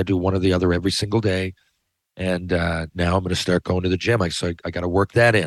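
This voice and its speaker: A man with a Newfoundland accent talks at a very fast pace in a very deep, low pitch. The sound is dry and close with no echo over a quiet background. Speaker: podcast host, former hockey player and author. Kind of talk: casual monologue. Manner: loud, yelling when passionate.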